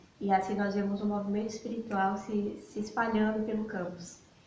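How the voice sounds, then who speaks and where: With noticeable background noise and audible room echo, a woman with fairly high pitch speaks at a fairly quick pace in a monotone, flat intonation. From Bahia, Brazil. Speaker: missionary. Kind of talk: talk to church congregation.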